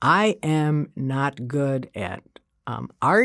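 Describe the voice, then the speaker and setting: In a Chicago accent, a woman speaks on a very clean recording with a silent background. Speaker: college community engagement coordinator. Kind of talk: interview.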